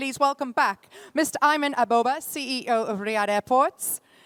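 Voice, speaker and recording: Speaking at a moderate pace with lively intonation, a woman comes through in a dry, close sound with no echo. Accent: Geordie. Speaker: conference moderator. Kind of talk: panel moderation.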